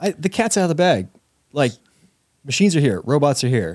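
A fairly high-pitched male voice with very wide pitch swings. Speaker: podcast co-host. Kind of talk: casual banter. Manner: joking.

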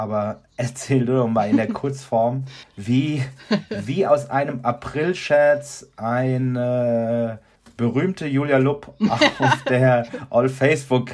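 Delivery is extremely slow. The pitch rises and falls normally. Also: man. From Aschaffenburg, Lower Franconia, Germany. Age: 40s. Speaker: communications consultant and podcast co-host. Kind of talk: casual chat.

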